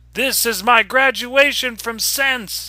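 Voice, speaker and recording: Shouting in a put-on character voice at a fairly slow pace, with fairly even intonation. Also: man, extremely high pitch for a man. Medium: read story. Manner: exultant, shouting.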